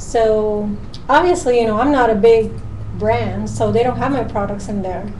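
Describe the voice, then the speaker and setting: In a room with audible echo and noticeable background noise, a woman speaks with a Puerto Rican accent. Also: moderate pace. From Puerto Rico. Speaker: natural cosmetics maker. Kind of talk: casual chat.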